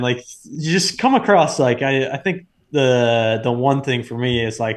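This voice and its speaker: A man with an ordinary speaking voice, medium pitch, lively intonation and a fairly slow pace over a quiet background. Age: 20s. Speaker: pro hockey player. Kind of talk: casual chat.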